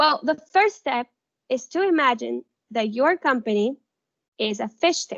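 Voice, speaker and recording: A woman with a high pitch and a non-native accent speaks at a fairly slow pace with lively intonation. She takes long, frequent pauses. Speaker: workshop presenter. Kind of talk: workshop presentation.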